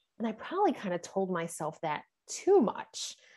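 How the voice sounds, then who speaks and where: A woman with a slight New York accent in a very clean recording with a silent background. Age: 40s. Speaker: intuitive coach and energy healer. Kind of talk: podcast interview. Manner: hesitant, many fillers.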